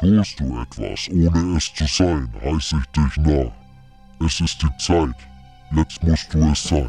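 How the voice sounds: Over faint music, a man uses a put-on character voice with a very deep, low pitch at a fairly slow pace.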